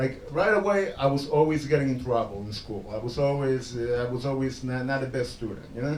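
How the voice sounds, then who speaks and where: A man with a Spanish accent talks at a fairly high pitch with ordinary pitch variation. Audible room echo surrounds his voice. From El Salvador. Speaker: stand-up comedian. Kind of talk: stand-up. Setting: stage with audience.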